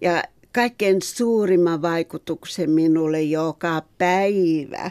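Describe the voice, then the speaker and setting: Dry and close with no echo, a woman's fairly low voice moves at a very slow pace with fairly even intonation. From Finland, Helsinki and Ruovesi. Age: 70s. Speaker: expatriate textile artist. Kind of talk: interview.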